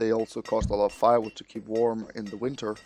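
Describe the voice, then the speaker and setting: Here a man talks with monotone, flat intonation. His pitch sits in the medium range. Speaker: gaming commentator. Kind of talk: let's play commentary.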